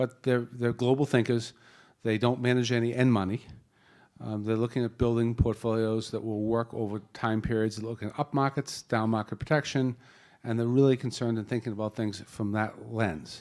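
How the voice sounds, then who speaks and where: In a very clean recording with a silent background, a man with a Boston accent talks fairly quickly in a monotone, flat way. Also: medium pitch for a man. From Boston area. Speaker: panel moderator, wealth management executive. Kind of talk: panel introduction. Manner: casual, joking.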